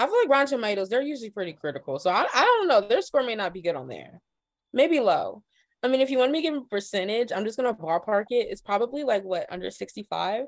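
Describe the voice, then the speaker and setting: In an American accent, a woman speaks very fast at a fairly high pitch, with vocal fry, big swings in loudness and very wide pitch swings. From Ohio, US Midwest. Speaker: journalist and freelance cultural writer. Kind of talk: casual chat.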